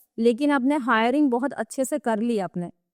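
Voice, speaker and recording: A woman with a Gujarati accent speaks at a high pitch and a moderate pace. The sound is dry and close with no echo, over a quiet background. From Gujarat, Kathiawar. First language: Gujarati (speaking Hindi). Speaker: digital marketing expert. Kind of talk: podcast interview.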